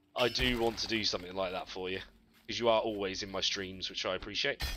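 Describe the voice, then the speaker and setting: Someone speaks with a Yorkshire accent against noticeable background noise. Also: man. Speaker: gaming streamer. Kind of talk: live stream chat with viewers. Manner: relaxed, chatty.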